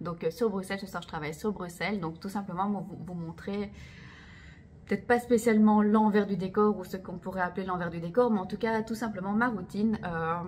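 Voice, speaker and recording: A woman's somewhat breathy voice at a medium pitch, a fairly quick pace and fairly even intonation. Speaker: belly dancer and vlogger. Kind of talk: casual vlog to camera. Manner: fast; hesitant, many fillers.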